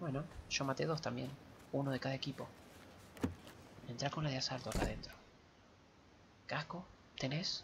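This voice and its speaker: A quiet, whispering man with vocal fry, at a fairly quick pace with long, frequent pauses, over noticeable background noise. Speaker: gamer streaming with partner. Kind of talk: casual gameplay commentary. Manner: whispered, quiet. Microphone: headset.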